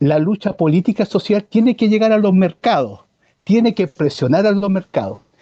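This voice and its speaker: In a Chilean accent, a man speaks at a moderate pace with a high pitch and ordinary pitch variation. His tone is dark and mellow, and the sound is dry and close with no echo. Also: very even loudness. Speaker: environmentalist. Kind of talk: interview conversation. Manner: hesitant with false starts.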